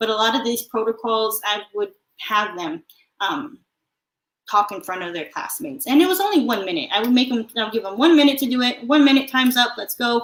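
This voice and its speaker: Speaking fairly quickly, a woman with an unremarkable speaking voice sits fairly high in pitch with ordinary pitch variation. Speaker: math teacher. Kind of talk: webinar presentation. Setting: live online stream.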